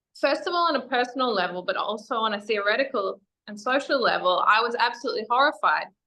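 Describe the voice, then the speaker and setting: Speech at a very fast pace, with an Australian accent and lively intonation. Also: woman, high pitch for a woman. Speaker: feminist educator and activist. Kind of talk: interview.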